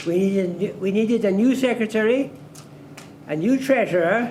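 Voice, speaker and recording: Audible room echo surrounds a man speaking with a Scottish accent. His pace is fairly slow, with ordinary pitch variation. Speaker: former club chairman. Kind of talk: anniversary dinner reminiscence. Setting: dinner event with audience.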